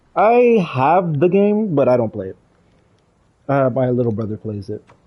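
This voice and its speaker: A man talks with a non-native accent and lively intonation. His voice is somewhat breathy. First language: not English. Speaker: gaming streamer. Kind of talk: live gameplay stream chat. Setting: live stream. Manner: hesitant, many fillers.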